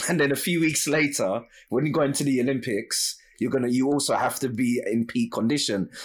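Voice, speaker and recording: On a very clean recording with a silent background, a man talks in a normal speaking voice, fairly high in pitch, at a fairly quick pace with very even loudness and ordinary pitch variation. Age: 30s. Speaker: podcast host. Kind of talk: interview.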